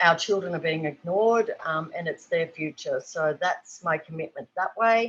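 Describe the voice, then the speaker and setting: Fairly slow speech from a woman with an Australian accent. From rural New South Wales, Australia. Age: 60s. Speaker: artist and children's book illustrator. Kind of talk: panel discussion. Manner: halting, many fillers.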